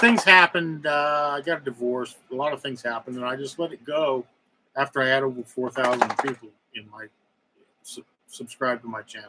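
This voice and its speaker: A man speaks at a fairly quick pace and fairly high pitch. His pitch variation is ordinary, while his loudness swings widely. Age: 60s. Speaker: YouTuber. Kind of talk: live stream monologue. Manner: halting, hesitant.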